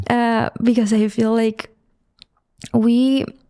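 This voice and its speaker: A woman speaks with a Spanish accent at a fairly high pitch. Her tone is dark and mellow. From Mexico. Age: 30s. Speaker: visual artist. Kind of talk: podcast interview.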